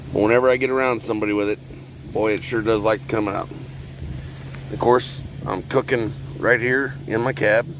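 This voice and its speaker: In an American accent, the speaker moves at a fairly quick pace broken by long, frequent pauses, with noticeable background noise. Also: man, medium pitch for a man, ordinary pitch variation. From Texas. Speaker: homesteader vlogger. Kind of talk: casual cooking vlog. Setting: outdoors, cooking in truck cab in parking lot.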